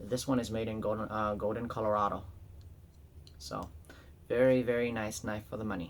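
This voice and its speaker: Ordinary pitch variation runs through what the man says. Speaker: knife collector YouTuber. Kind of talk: casual product show-and-tell. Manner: fast; halting, many fillers.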